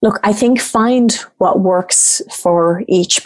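Her delivery is very slow. The woman's pitch rises and falls in an ordinary way. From Ireland. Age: 40s. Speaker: coach and facilitator. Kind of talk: casual interview chat.

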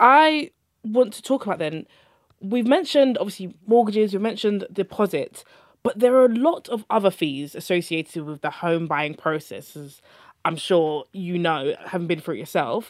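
A woman talks at a moderate pace, her loudness swinging widely and her pitch moving in very wide swings. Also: medium pitch for a woman, very clean recording, silent background. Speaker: podcast host. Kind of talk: casual interview chat about personal finance.

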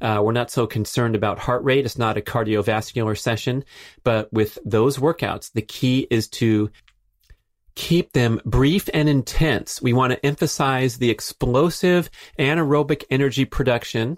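A man's medium-pitched voice at a moderate pace, with ordinary pitch variation and very even loudness, on a very clean recording with a silent background. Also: dry, close sound with no echo. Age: 50s. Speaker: podcast host, author and athlete. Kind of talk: solo educational monologue. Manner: animated.

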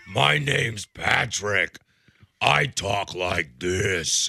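A man does a raspy, put-on character voice with a very deep, low pitch. He talks at a very slow pace. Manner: exaggerated, comic.

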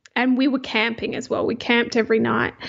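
This woman's high-pitched voice moves up and down with ordinary variation. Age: 40s. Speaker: digital marketing professional. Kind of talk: interview.

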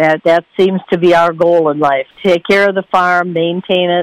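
In an American accent, a woman speaks at a fairly slow pace with monotone, flat intonation, the sound dry and close with no echo. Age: 80s+. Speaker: farmer. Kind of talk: interview.

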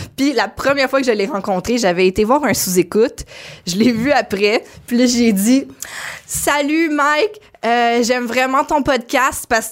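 A high-pitched woman's voice with a Quebec accent at a fairly slow pace. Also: ordinary pitch variation. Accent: Québécois French. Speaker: comedian. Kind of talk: casual chat. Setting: studio.

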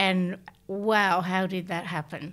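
In a very clean recording with a silent background, a woman speaks at a medium pitch in a monotone, flat intonation. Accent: Australian. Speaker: bereaved mother sharing lived experience. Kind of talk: testimony.

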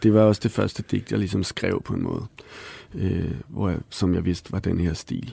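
A man with a very deep, low voice speaks at a moderate pace with ordinary pitch variation. His dark, mellow tone has vocal fry. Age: 30s. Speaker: author. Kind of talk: interview conversation.

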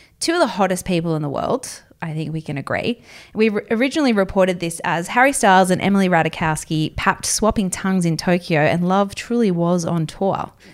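With an Australian accent, the speaker moves at a fairly quick pace with hardly any pauses. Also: woman, medium pitch for a woman, ordinary pitch variation. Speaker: entertainment editor and podcast co-host. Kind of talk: casual chat. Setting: studio in Sydney.

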